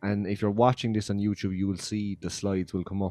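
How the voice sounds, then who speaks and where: A man in an Irish accent, with a dry, close sound and no echo, and music in the background. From Ireland. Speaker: podcast host. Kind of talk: casual chat. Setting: video podcast recording. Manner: animated.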